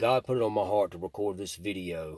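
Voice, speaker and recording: With a Mississippi accent, a man speaks at a moderate pace. His pitch is fairly low, with ordinary variation. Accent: Southern US (Mississippi). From US South, Mississippi (Jackson and Rankin County). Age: 40s. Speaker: recovered addict and former gang member. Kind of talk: testimony.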